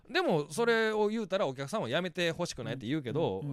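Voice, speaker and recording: A man talks at a very fast pace in a Kansai accent. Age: 40s. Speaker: stand-up comedian. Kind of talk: casual chat.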